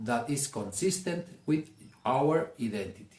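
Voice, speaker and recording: A man with a Mexican accent speaks at a fairly slow pace in a fairly high pitch, his dark, mellow tone somewhat breathy and his intonation lively. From Mexico, Jalisco. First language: Spanish. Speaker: self-help speaker. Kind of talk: motivational talk.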